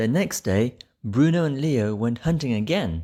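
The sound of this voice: With a dark, mellow tone and lively intonation, a man talks at a fairly slow pace. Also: medium pitch for a man.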